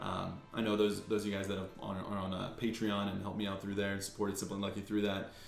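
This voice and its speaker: Over noticeable background noise and audible room echo, a man with a fairly low voice rushes along at a very fast pace with hardly any pauses, his intonation monotone and flat. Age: 20s. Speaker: YouTuber opening trading card mail. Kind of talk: casual unboxing vlog. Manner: casual, filler-heavy with repeats.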